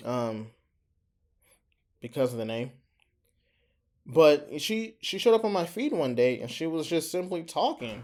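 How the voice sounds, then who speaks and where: A man speaks at a fairly slow pace with long, frequent pauses. His pitch swings very widely on a very clean recording with a silent background. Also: fairly high pitch for a man. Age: 20s. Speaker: small YouTuber. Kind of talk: casual vlog monologue. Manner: halting, hesitant.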